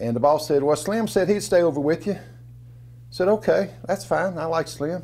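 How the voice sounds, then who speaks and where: A man speaks at a fairly quick pace in an ordinary speaking voice, with an American accent. His fairly high pitch carries lively intonation. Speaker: storyteller, former coal miner. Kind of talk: storytelling, casual personal narrative.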